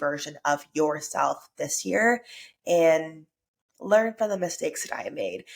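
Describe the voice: A woman with a low pitch, a fairly slow pace and fairly even intonation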